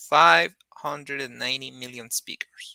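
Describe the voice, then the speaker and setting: In a Spanish accent, a man speaks in a bright, sharp tone with a dry, close sound and no echo. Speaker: Spanish teacher. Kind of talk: online lesson, bilingual explanation. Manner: hesitant, with fillers.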